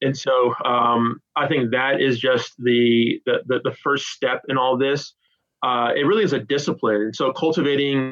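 Music plays behind a man with an American accent. He talks fairly slowly at medium pitch with fairly even intonation. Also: very even loudness. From California. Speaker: theology professor. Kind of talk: interview.

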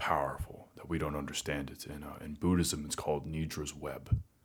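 A man with an American accent speaks with a very deep, low pitch and vocal fry. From Arkansas, US South. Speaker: podcast guest. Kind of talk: casual chat.

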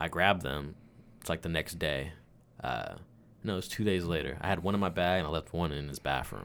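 A man's very deep, low voice with vocal fry and ordinary pitch variation, at a fairly quick pace broken by long, frequent pauses, in a very clean recording with a silent background. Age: 20s. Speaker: personal assistant to a CEO. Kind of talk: casual chat.

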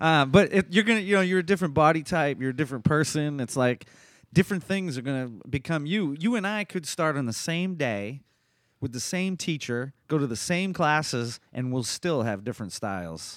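A plain, everyday voice with lively intonation at a fairly quick pace, in a very clean recording with a silent background. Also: man, fairly high pitch for a man. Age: 40s. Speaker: accountant and jiu-jitsu purple belt. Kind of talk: casual chat.

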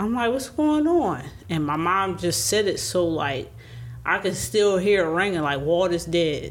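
A woman's fairly low voice with vocal fry and very wide pitch swings, at a very slow pace. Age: 30s. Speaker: sister of the deceased. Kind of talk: casual chat.

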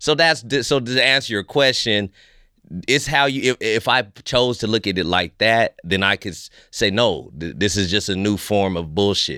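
On a very clean recording with a silent background, a man speaks at a fairly low pitch in a bright, sharp tone. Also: lively intonation, moderate pace. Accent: American. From California (Fresno), US. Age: 30s. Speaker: stand-up comedian. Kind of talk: casual interview chat. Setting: studio.

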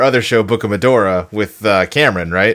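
Moving at a fairly quick pace, a man uses an ordinary speaking voice with ordinary pitch variation. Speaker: podcast co-host. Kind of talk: casual banter, movie review podcast. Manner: relaxed, joking.

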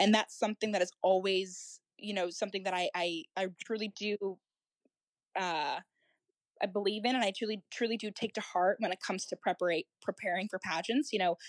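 An ordinary speaking voice from a woman with an American accent, medium pitch, fairly even intonation and a fairly quick pace, in a dry, close sound with no echo over a quiet background. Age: 20s. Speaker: pageant contestant and EMT. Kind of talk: interview chat.

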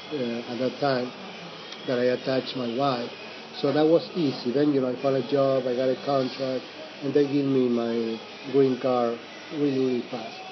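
Over noticeable background noise, a man of medium pitch talks at a moderate pace in a monotone, flat intonation, leaving long, frequent pauses. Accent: Argentine. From Mendoza, Argentina. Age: 50s. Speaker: Airbnb host and storyteller. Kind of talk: casual interview. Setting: cafe, then home. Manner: halting, many fillers.

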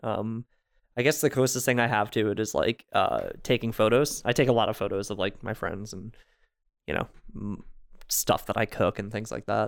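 Recorded very cleanly against a silent background, a plain, everyday voice with an American accent moves at a moderate pace with fairly even intonation. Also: man, medium pitch for a man. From US Northeast, New Jersey. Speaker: podcast guest. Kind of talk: casual chat.

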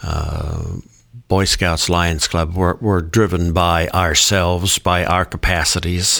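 A man with a very deep, low pitch speaks at a very slow pace and with fairly even intonation. Noticeable background noise sits behind him. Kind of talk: casual discussion.

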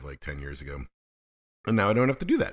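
Heard in a very clean recording with a silent background, a man's voice has a bright, sharp tone and vocal fry. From Alaska. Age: 50s. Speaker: podcast host. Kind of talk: casual monologue. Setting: home office.

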